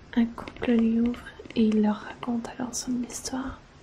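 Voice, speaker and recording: Over noticeable background noise, a woman speaks at a fairly slow pace. Her pitch is high and her intonation monotone and flat. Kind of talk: horror story narration. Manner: soft-spoken, whispering.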